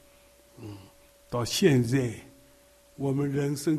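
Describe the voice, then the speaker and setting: A man's fairly high voice at a very slow pace, with audible room echo. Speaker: elderly preacher. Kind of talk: sermon.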